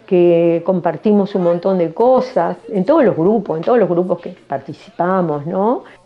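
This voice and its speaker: Over noticeable background noise, a woman of medium pitch talks at a fairly slow pace with ordinary pitch variation. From Uruguay, Canelones (rural). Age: 80s+. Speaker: political party activist. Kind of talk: testimony interview.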